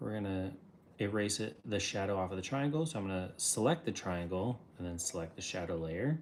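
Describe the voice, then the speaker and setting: Using a plain, everyday voice, a man speaks fairly low and fairly quick with lively intonation. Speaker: artist and livestreamer. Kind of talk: livestream drawing tutorial. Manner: casual, filler words.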